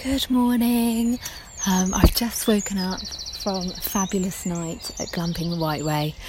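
Noticeable background noise surrounds a woman speaking quietly at a fairly slow pace. Her pitch is medium, with ordinary pitch variation. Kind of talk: vlog-style monologue. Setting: outdoors.

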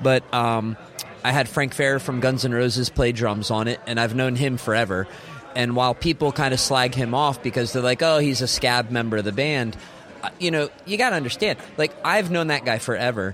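Over noticeable background noise, a man speaks at a medium pitch and a moderate pace, with ordinary pitch variation and very even loudness. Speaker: rock musician. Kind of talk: casual interview.

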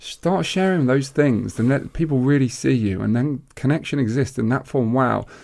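A man with a normal speaking voice talks at a medium pitch and moderate pace, with very even loudness, in a very clean recording with a silent background. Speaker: podcast co-host and life coach. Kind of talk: casual chat.

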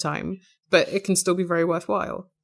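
The background stays quiet. A woman talks fairly quickly. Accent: English. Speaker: podcaster. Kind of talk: interview.

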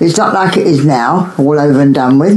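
A woman speaks at a moderate pace with a very deep, low pitch and lively intonation, over noticeable background noise and audible room echo. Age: 90s. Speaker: grandmother interviewed about love in wartime. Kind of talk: casual interview.

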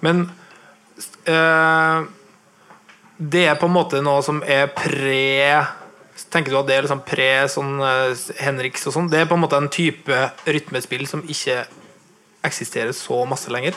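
Speaking at a fairly slow pace with long, frequent pauses, a man uses fairly even intonation in a fairly high, bright, sharp voice. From Nordmøre, Norway. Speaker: podcast host, guitarist. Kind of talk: live interview. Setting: record shop with live audience. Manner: talkative.

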